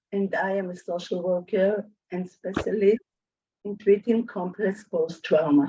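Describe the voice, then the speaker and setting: A woman with a somewhat breathy, dark and mellow tone talks at a fairly slow pace, with a medium pitch and fairly even intonation. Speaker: social worker. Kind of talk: webinar presentation.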